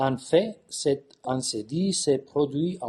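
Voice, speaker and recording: Speaking at a very slow pace, a man has a fairly high pitch and a dark, mellow tone that is somewhat breathy. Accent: Californian. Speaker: bishop and theologian. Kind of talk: conference talk. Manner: halting with many hesitations.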